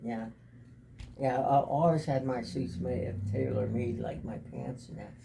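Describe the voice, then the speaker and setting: This man talks at a fairly slow pace and medium pitch, with ordinary pitch variation. Audible room echo surrounds his voice. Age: 80s+. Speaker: grandfather and military veteran. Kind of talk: family interview, reminiscing. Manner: halting, repetitive.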